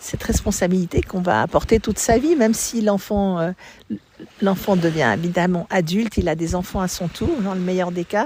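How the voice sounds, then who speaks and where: Somewhat breathy, a woman of medium pitch speaks at a moderate pace with ordinary pitch variation. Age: 70s. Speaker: mother giving testimony. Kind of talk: interview testimony. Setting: outdoors by the sea. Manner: halting.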